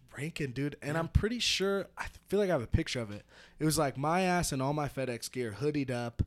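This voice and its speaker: Speaking in a normal speaking voice, a man talks at a fairly quick pace with a fairly high pitch and lively intonation. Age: 20s. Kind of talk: casual chat. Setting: remote call.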